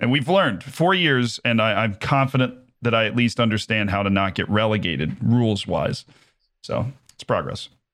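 A man with an American accent speaks in an ordinary speaking voice at medium pitch, with lively intonation and a moderate pace. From United States. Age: 20s. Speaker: football manager streamer and aspiring sports broadcaster. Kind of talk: casual chat.

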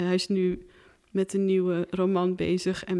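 Speaking at a moderate pace, a woman keeps a monotone, flat intonation. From Netherlands. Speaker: filmmaker. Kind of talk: casual chat.

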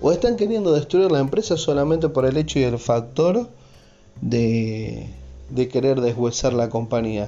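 A man with a Rioplatense accent speaks at a fairly slow pace, his medium-pitched voice rising and falling with lively intonation. Music plays in the background, and his loudness stays very even. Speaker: podcaster. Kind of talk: casual monologue. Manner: animated.

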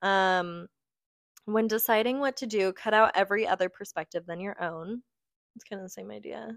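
A woman speaks fairly quickly in an unremarkable speaking voice at a medium pitch, with ordinary pitch variation. Her loudness swings widely, and the sound is dry and close with no echo. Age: 20s. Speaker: podcast co-host. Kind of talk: casual chat.

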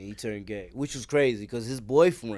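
In a New York accent, a man speaks at a medium pitch with ordinary pitch variation, in a very clean recording with a silent background. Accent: New York City. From Brooklyn, New York (East New York), also Queens. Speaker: former prisoner. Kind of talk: casual interview conversation. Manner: animated storytelling.

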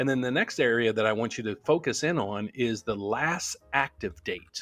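A man's unremarkable speaking voice, medium in pitch, at a moderate pace with ordinary pitch variation. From US Appalachia, West Virginia northern panhandle near Wheeling. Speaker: loan officer team leader, mortgage YouTuber. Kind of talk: casual live-stream Q&A.

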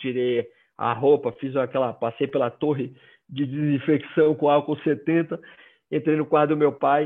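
A man speaks with a northeastern Brazilian accent and fairly even intonation. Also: fairly high pitch for a man, fairly slow pace. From Brazil, Northeast (Maceió, Alagoas). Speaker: headhunter. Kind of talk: personal testimony in a live video chat. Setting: video call.

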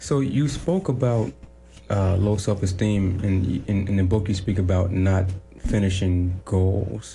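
Very deep and low in pitch, a man talks at a fairly slow pace with ordinary pitch variation. His voice is somewhat breathy and his loudness very even. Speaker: radio host. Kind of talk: casual interview chat. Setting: studio with live video.

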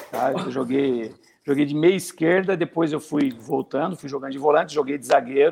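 This is a man with a normal speaking voice and a fairly high pitch. He moves at a moderate pace with ordinary pitch variation. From Brazil, interior of São Paulo state. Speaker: retired footballer. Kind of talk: interview.

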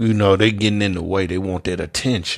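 An American accent from a man, recorded very cleanly against a silent background. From US South, Memphis, Tennessee. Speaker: podcaster and self-described preacher. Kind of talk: religious monologue. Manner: casual, repetitive with fillers.

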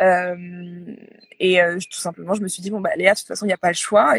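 A woman speaks in a monotone with flat intonation. The sound is dry and close, with no echo. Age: 30s. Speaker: yoga retreat agency founder. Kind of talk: interview. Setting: Instagram live. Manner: halting, many fillers and repetitions.

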